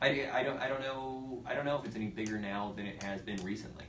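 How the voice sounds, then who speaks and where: Someone with a Midwestern American accent speaks at a fairly quick pace with ordinary pitch variation, amid noticeable background noise and audible room echo. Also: man. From US Midwest. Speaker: comedian. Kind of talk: casual chat. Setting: livestream from comedy studio. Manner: halting.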